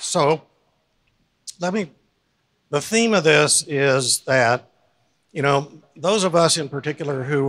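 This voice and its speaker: A man speaks at a moderate pace in a quiet background. His pitch shows ordinary variation. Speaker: retired medical school dean; storyteller at a charity event. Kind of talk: storytelling. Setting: stage with audience. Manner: halting. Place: hall. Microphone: handheld.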